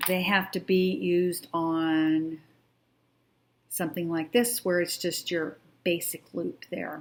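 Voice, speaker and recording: A woman with a fairly low pitch speaks at a very slow pace, with long, frequent pauses. Her intonation is fairly even, and the recording is very clean with a silent background. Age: 60s. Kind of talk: tutorial. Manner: casual, hesitant.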